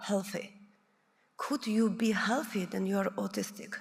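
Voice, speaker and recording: Her intonation fairly even, the woman talks with vocal fry. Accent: non-native. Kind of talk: conference presentation. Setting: conference room with audience. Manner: halting.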